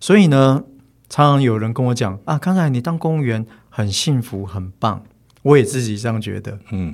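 A man with an unremarkable speaking voice talks at a moderate pace and a medium pitch, with lively intonation. The recording is very clean and the background silent. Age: 40s. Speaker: bookstore owner, former forest ranger. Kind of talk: casual interview chat.

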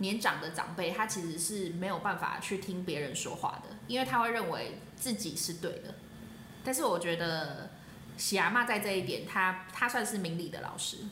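A woman's voice with ordinary pitch variation, amid audible room echo and noticeable background noise. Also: medium pitch for a woman, moderate pace. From Taiwan, New Taipei. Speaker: former student, soldier. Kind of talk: casual interview chat.

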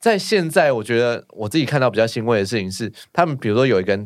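At a very fast pace, a man speaks with lively intonation at a medium pitch. The recording is very clean, with a silent background. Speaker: village chief. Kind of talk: casual chat.

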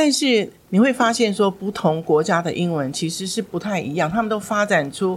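A woman with a plain, everyday voice talks at a moderate pace and medium pitch, her intonation lively. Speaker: former school principal and English education director. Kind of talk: interview on parenting and English learning.

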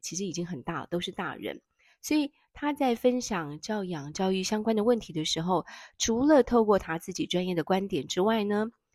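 Her pitch swinging very widely around a medium level, a woman speaks at a moderate pace. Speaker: podcast host, parenting educator. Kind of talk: book review monologue. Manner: hesitant, many fillers.

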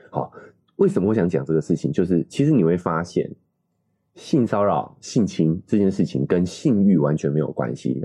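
A man speaks at a moderate pace with a very deep, low pitch and vocal fry. His tone is dark and mellow, and his intonation is lively. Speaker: parenting podcast co-host. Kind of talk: casual chat.

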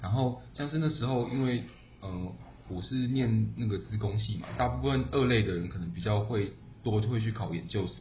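Noticeable background noise and audible room echo surround a man with a fairly low pitch. He speaks at a moderate pace with ordinary pitch variation. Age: 20s. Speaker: podcast co-host, engineer. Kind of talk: casual chat.

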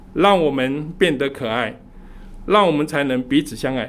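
A man at a moderate pace, with audible room echo. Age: 70s. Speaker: church elder preaching. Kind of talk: sermon.

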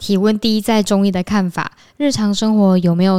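A dark, mellow tone in a slight central Taiwanese accent, with a dry, close sound with no echo on a very clean recording with a silent background. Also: woman. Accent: slight central Taiwan. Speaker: podcast co-host. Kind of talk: casual chat.

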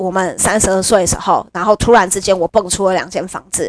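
In a dry, close sound with no echo, a woman speaks in an animated tone. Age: 30s. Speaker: podcast host. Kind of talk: casual monologue. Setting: home.

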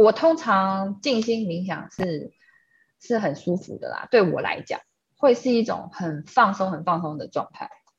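Somewhat breathy and medium in pitch, a woman speaks at a fairly slow pace with lively intonation and big swings in loudness. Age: 30s. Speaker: energy painting artist, gallery founder. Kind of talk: casual interview chat.

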